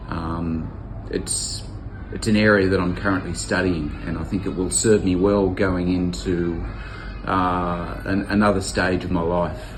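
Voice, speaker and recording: Over noticeable background noise and audible room echo, a man with an Australian accent speaks fairly slowly in a very deep, low voice. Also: ordinary pitch variation. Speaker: volunteer teacher. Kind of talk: testimonial interview. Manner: halting, many fillers and repeats.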